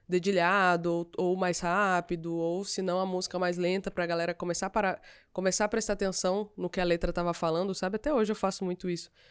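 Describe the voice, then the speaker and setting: Against a silent background in a very clean recording, a woman speaks fairly quickly at a medium pitch, her intonation monotone and flat, with hardly any pauses. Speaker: singer. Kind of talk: casual chat.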